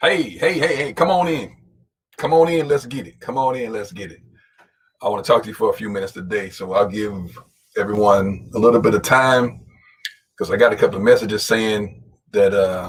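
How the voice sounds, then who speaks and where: A man with a medium-pitched, somewhat breathy voice talks at a fairly quick pace in an animated tone, with lively intonation, big swings in loudness and long, frequent pauses. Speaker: motivational speaker. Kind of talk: live-stream motivational talk. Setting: live stream. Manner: fast.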